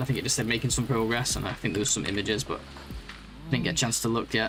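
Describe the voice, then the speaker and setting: Very fast speech from a man at medium pitch, in a northern English accent, with music in the background. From northwest England. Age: 30s. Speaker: game streamer. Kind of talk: live gaming stream chat.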